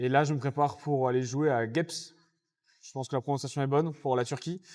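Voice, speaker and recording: A man with a plain, everyday voice speaks at a fairly quick pace and a fairly high pitch, his loudness swinging widely. The recording is very clean, with a silent background. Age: 20s. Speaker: underwater hockey athlete. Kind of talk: podcast interview.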